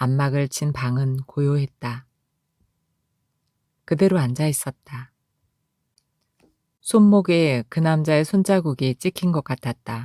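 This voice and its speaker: A woman with a very deep, low pitch and a dark, mellow tone speaks calmly at a very slow pace, leaving long, frequent pauses, with ordinary pitch variation and a dry, close sound free of echo. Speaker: audiobook narrator. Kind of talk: essay reading. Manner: calm, emotional.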